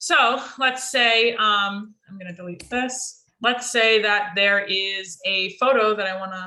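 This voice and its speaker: Her American accent clear, a woman speaks at a very slow pace with hardly any pauses and big swings in loudness. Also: medium pitch for a woman, ordinary pitch variation. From Florida, Martin County (Jensen Beach). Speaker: social media coach. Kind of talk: tutorial. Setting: video call.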